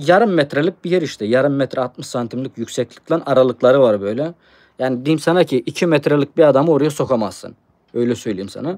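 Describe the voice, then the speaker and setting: The sound is dry and close, with no echo. A man speaks quickly at a fairly high pitch, with ordinary pitch variation. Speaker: treasure hunting YouTuber. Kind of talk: live stream chat. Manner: hesitant, many fillers.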